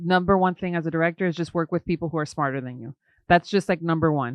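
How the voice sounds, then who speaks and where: A woman speaks in an unremarkable speaking voice, fairly low-pitched for a woman, with ordinary pitch variation. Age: 30s. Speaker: film director. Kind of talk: casual chat.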